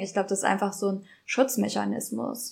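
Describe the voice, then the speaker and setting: A woman's medium-pitched voice with vocal fry, at a moderate pace. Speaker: podcast co-host. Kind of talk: casual chat. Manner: natural, conversational.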